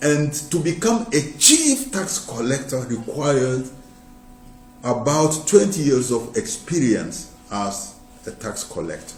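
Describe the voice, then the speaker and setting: Music plays behind a man with a fairly high pitch who speaks very slowly with lively intonation, and the room echo is audible. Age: 60s. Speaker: preacher. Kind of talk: sermon. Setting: live broadcast.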